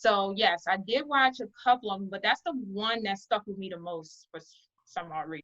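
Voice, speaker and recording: A woman with a Baltimore accent talks at a moderate pace and medium pitch in a bright, sharp tone, with ordinary pitch variation, big swings in loudness and a dry, close sound with no echo. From Baltimore, Maryland, US. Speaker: artist and business owner. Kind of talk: interview.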